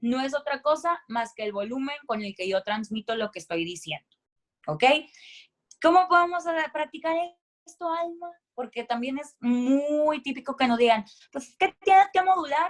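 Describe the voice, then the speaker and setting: A woman's high-pitched voice at a moderate pace, with very wide pitch swings, big swings in loudness, and long, frequent pauses. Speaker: voice-over announcer and speaker. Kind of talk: voice coaching talk. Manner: animated.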